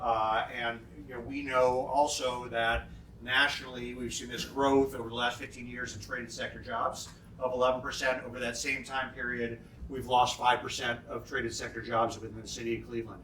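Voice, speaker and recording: A man's medium-pitched, flat and monotone voice at a fairly quick pace, with big swings in loudness, audible room echo, and noticeable background noise. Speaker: city development official. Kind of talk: lunchtime keynote talk. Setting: conference lunch with audience. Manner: fast; many fillers and repeated words.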